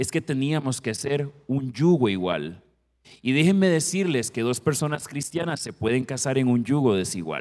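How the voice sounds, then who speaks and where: Using an ordinary speaking voice at a medium pitch, a man talks at a moderate pace with lively intonation. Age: 50s. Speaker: family counselor and guest preacher. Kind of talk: sermon. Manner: formal.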